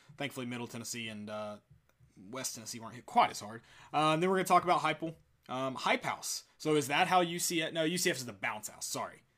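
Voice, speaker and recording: The delivery is very fast, with lively intonation and a bright, sharp tone. Loudness swings widely. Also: man, fairly high pitch for a man. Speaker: sports podcast host. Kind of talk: casual sports talk podcast. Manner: stutters, rambling, hesitant.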